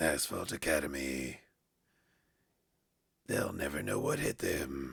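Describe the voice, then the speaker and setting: A man speaks in a put-on character voice with a very deep, low pitch. His pace is fairly slow, with long, frequent pauses. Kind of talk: trailer narration. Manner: dramatic.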